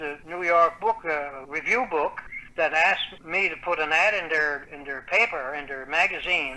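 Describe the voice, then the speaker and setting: A man with a Newfoundland accent speaks in a fairly high pitch. Noticeable background noise runs behind him. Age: 70s. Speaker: author. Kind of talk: interview.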